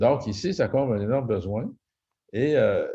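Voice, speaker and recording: Against a quiet background, a man with a Quebec accent speaks at a moderate pace. His tone is dark and mellow, and somewhat breathy. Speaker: real estate investor and private lender. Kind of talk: webinar presentation. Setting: video call. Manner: hesitant, many fillers.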